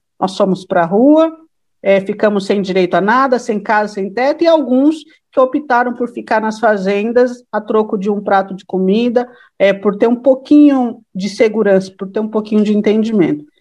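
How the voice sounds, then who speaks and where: In an unremarkable speaking voice, someone talks at a moderate pace with ordinary pitch variation. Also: woman, fairly high pitch for a woman. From São Bernardo do Campo, São Paulo state, Brazil. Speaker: political activist and law student. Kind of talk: casual chat.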